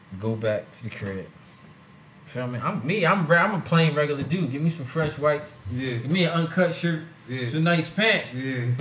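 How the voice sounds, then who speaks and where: Over noticeable background noise, a man with an American accent speaks at a moderate pace and fairly high pitch, with lively intonation. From Trenton, New Jersey. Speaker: rapper. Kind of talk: casual chat. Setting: studio.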